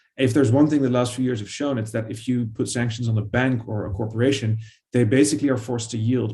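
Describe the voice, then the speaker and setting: Somewhat breathy, with a dark, mellow tone, fairly even intonation and a Dutch accent. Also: man. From Netherlands. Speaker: historian, author. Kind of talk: panel discussion. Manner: hesitant, many fillers.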